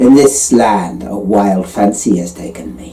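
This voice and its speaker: A put-on character voice. There is audible echo around it. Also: man. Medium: read story. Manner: grand, capricious.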